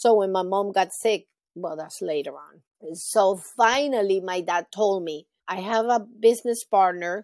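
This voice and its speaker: Speaking at a moderate pace in a Spanish accent, a woman has a medium pitch and ordinary pitch variation on a very clean recording with a silent background. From Venezuela. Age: 50s. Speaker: heart patient and charity founder. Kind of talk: interview.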